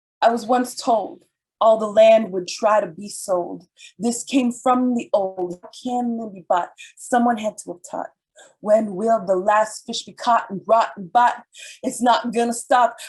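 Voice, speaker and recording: This woman has a fairly high, somewhat breathy voice and speaks at a fairly slow pace with fairly even intonation. Her loudness swings widely. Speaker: spoken word artist. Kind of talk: spoken word performance; forum remarks. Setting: video call from a hotel.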